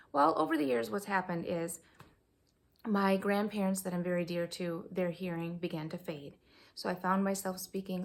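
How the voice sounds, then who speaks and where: A woman with a normal speaking voice talks at a moderate pace, her pitch fairly low and her pitch variation ordinary. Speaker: homeschooling mom and board game reviewer. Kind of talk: casual video review. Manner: conversational, with filler words.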